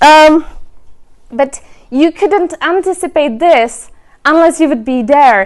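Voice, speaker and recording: Lively intonation marks this woman's speech in a Czech accent. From Czech Republic. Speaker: remote work advocate, speaker. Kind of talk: event presentation. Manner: halting, many fillers.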